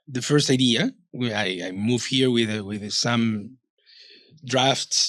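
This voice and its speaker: A man with a Peruvian accent, medium pitch, very slow pace, fairly even intonation, and long, frequent pauses. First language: Spanish. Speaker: author and publisher. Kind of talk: interview conversation. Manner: halting, repeats words.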